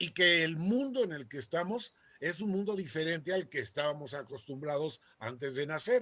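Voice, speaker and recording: This man's voice sits high in pitch, with lively intonation. His pace is fairly slow. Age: 80s+. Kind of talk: talk to a group.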